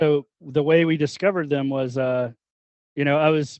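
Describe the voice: At a moderate pace, a man with a fairly high pitch speaks in a clear, smooth tone with fairly even intonation, the sound dry and close with no echo.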